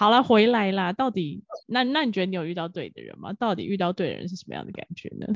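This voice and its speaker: A woman with a medium pitch talks at a very fast pace with vocal fry. Her pitch varies in an ordinary way while her loudness swings widely. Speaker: podcast co-host. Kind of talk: casual chat. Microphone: new professional microphone.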